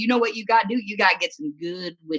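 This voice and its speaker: Her tone bright and sharp, a woman with a Midwestern accent talks with ordinary pitch variation. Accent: American Midwestern. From US Midwest, rural. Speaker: comedian. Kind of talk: stand-up.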